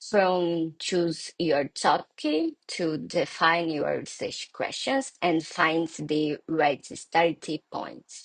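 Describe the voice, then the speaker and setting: A woman with a Brazilian Portuguese accent at a very slow pace, in a dry, close sound with no echo. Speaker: law workshop presenter. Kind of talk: recorded workshop lecture. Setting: pre-recorded session, not live. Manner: halting, non-native phrasing.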